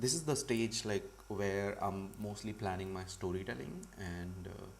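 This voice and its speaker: In a room with audible echo, a man talks fairly slowly in a fairly low pitch with vocal fry. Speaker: comic artist teaching a livestream. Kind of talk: live tutorial. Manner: loud. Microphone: audio was too quiet at first.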